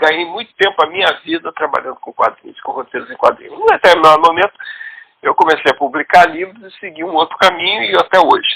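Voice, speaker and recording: In a dry, close sound without echo, a man speaks very fast, his loudness rising and falling sharply. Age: 60s. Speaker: writer and comics scriptwriter. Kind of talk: interview.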